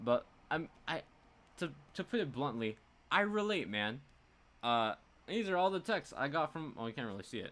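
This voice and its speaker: A man with a fairly high voice and very wide pitch swings speaks with long, frequent pauses. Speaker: gaming YouTuber and streamer. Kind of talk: casual live stream chat. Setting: home live stream on webcam. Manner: fast.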